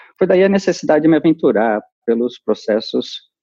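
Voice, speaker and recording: The voice moves at a fairly slow pace through very wide pitch swings. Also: man. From Brazil, São Paulo city. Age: 50s. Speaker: human resources executive. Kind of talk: interview. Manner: halting, many repetitions.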